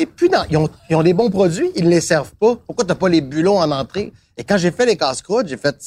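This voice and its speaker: The sound is dry and close with no echo, and the intonation is lively. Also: man, high pitch for a man, moderate pace. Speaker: TV host and actor. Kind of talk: casual chat over lunch.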